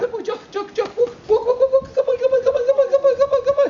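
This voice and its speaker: A put-on character voice, squeaky and extremely high in pitch, rattles along at a very fast pace. The tone is excited. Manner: fast, repetitive, excited.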